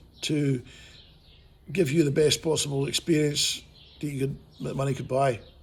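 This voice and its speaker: A man talks at a very fast pace with a fairly high pitch. His voice is somewhat breathy. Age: 60s. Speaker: motorcycle vlogger. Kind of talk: casual video review. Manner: casual, rambling with fillers.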